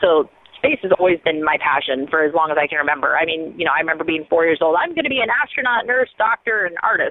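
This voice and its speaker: An American woman speaks very fast with hardly any pauses, her fairly low voice full of lively intonation. Noticeable background noise is present. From rural US Midwest. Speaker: rocket scientist and YouTube host. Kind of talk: interview.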